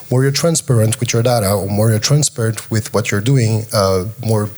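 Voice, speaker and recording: In a French accent, a man speaks at a medium pitch with ordinary pitch variation. His pace is moderate. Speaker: panelist, tokenization company representative. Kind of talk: panel discussion.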